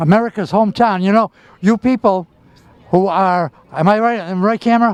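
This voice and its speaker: The loudness stays very even at a fairly quick pace. The sound is dry and close, with no echo. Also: man, high pitch for a man. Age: 80s+. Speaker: community TV host. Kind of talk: on-location interview. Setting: outdoors at a shipyard. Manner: animated.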